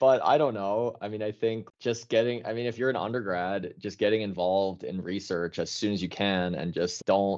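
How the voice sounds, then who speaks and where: Using a plain, everyday voice, the speaker goes at a fairly quick pace, the intonation fairly even. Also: man. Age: 20s. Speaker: geochemistry researcher. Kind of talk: interview.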